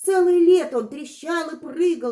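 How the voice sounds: A woman's dark, mellow voice moves at a moderate pace with lively intonation.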